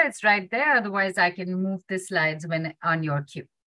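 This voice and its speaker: Against a quiet background, a woman speaks at a moderate pace with a dry sound and no echo. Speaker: summit moderator. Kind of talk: moderated discussion. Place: home room. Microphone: video call.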